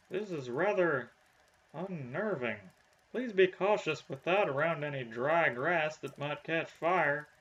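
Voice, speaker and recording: Using a put-on character voice, a man speaks at a fairly slow pace and a fairly high pitch. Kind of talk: comic overacting. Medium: game stream.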